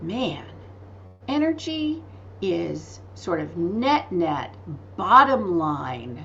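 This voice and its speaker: A woman at a very slow pace with long, frequent pauses, plus audible room echo and noticeable background noise. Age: 60s. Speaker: spiritual author and teacher. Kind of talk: podcast interview. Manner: animated.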